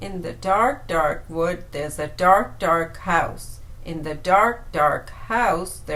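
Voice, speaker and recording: A put-on character voice at middle pitch, very slow yet with hardly any pauses, over light background noise. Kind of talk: ghost story voice.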